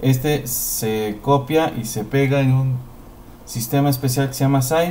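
Amid audible room echo, a man speaks at a very slow pace with a fairly high pitch and ordinary pitch variation. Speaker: teacher. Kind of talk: tutorial. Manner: halting.

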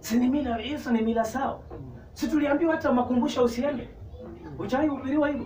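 A man speaks at an extremely high pitch and a fairly quick pace with fairly even intonation. There is light background noise and audible room echo. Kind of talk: sermon. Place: church. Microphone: camera far.

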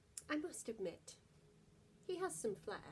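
Over light background noise, the voice moves at a fairly slow pace with a warm, gentle tone and vocal fry. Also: woman. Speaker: actor reading bedtime story. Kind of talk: bedtime story reading aloud to children. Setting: home video, lockdown. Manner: warm, gentle, animated storyteller; playful, lilting rhythm with rhymes. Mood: warm, gentle, expressive. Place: home room. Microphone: phone near.

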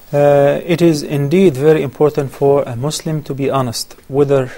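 This man's voice has a dark, mellow tone. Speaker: guest. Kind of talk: religious Q&A answer. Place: studio. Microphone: lapel.

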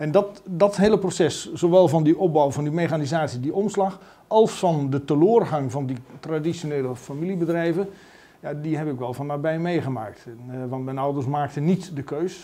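A man speaks in a dark, mellow tone at a moderate pace. His pitch variation is ordinary. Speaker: politician interviewee. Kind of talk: interview answer. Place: office.

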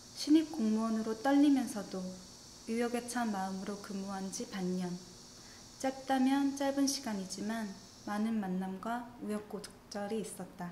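A woman speaks fairly slowly in a fairly high voice with ordinary pitch variation. Light background noise can be heard. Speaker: government statistics office ASMR reader. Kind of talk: ASMR reading of a statistics survey essay. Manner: soft-spoken, whispery, relaxing. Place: home room.

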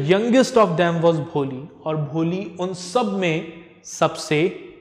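Speaking at a very slow pace, a man has a high pitch and ordinary pitch variation. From India. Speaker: English teacher. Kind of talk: lecture. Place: classroom.

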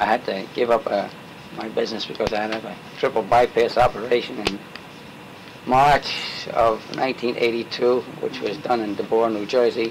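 Monotone, flat delivery at a moderate pace over noticeable background noise. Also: man. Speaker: interviewee. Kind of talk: interview answer. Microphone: old recording.

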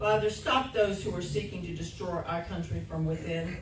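Against light background noise and audible room echo, a woman speaks at a moderate pace. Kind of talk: read intercessory prayer. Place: church.

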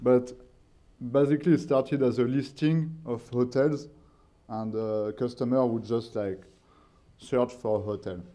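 Using ordinary pitch variation, a man speaks in a dark, mellow tone. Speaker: industry data professional. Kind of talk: panel discussion. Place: hall. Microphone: podium.

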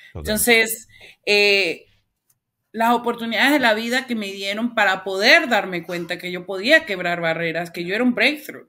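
Her loudness swings widely as a woman speaks at a moderate pace and medium pitch, her intonation lively and her tone bright and sharp. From Venezuela, Caracas. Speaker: author and community leader; interview guest. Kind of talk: interview. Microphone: webcam.

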